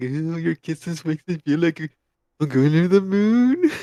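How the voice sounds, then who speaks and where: Doing a put-on character voice pitched high for a man, a man speaks at a moderate pace, the sound dry and close with no echo. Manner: gushing, sappy.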